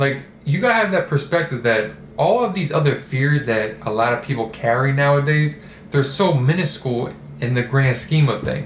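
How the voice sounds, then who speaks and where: Over noticeable background noise and audible room echo, a man talks at a moderate pace. His pitch is fairly high and his intonation lively. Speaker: self-development vlogger. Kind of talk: casual monologue. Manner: casual, hesitant with repetitions.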